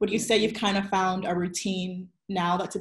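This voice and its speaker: A woman's somewhat breathy voice moves at a fairly quick pace over a quiet background. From US South, Virginia Beach. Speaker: interview host, marketing consultant. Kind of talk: interview. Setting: live video stream. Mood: warm, friendly. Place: home room. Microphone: video call.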